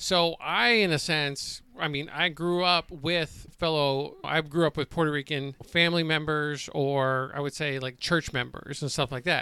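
A man's bright, sharp, fairly high voice with fairly even intonation at a fairly slow pace, on a very clean recording with a silent background. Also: hardly any pauses. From New Jersey. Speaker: podcast co-host, Iraq war veteran. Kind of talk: political talk show.

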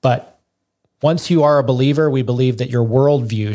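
A man's plain, everyday voice with fairly even intonation. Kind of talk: interview.

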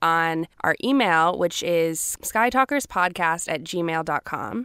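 Slow-paced but lively in intonation, a woman with an American accent speaks in a plain, everyday voice, with a dry, close sound with no echo on a very clean recording with a silent background. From US South (Georgia). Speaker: podcast co-host. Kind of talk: casual chat.

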